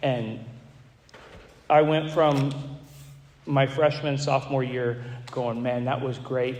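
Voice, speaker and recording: With an American accent, a man at medium pitch speaks amid noticeable background noise and audible room echo. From Florida, Gulf Coast. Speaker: recovery speaker. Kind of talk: testimony. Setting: stage with audience. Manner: halting, repeats words.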